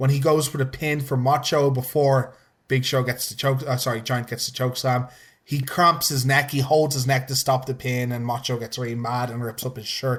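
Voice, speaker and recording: On a very clean recording with a silent background, a man with a medium pitch speaks in an animated, somewhat breathy tone at a moderate pace. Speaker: wrestling podcast host. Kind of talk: casual chat. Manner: halting.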